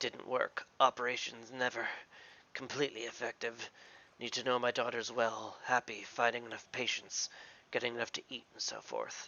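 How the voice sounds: In a put-on character voice that is raspy, hoarse and wheezy, the speaker goes at a moderate pace. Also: man, medium pitch for a man.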